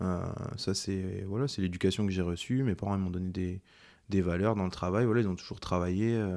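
At a medium speed, a man with a very deep, low voice talks with fairly level intonation. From Ardennes, France. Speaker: chef, cooking show winner. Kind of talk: casual interview.

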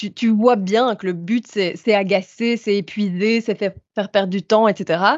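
A woman's ordinary speaking voice at medium pitch, fairly even in intonation and fairly slow in pace. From Belgium. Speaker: doctoral student and activist. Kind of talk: casual chat.

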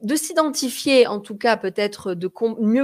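Speaking at a fairly slow pace, a woman uses lively intonation and a fairly high pitch on a very clean recording with a silent background. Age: 40s. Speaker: communication coach and podcast host. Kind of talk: live social media broadcast, tips talk. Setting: live stream on social media. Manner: animated.

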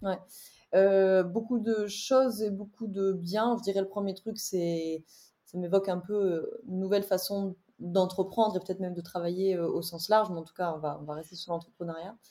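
Heard in a very clean recording with a silent background, a woman with a dark, mellow tone and medium pitch speaks at a moderate pace with fairly even intonation. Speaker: wellbeing coach and entrepreneur. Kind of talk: interview conversation. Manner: articulate.

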